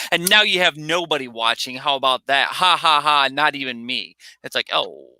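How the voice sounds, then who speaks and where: Loud and animated, a man speaks at a moderate pace with a bright, sharp tone, a fairly high pitch and ordinary pitch variation, in a dry, close sound with no echo. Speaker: live stream co-host. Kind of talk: casual chat. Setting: live stream.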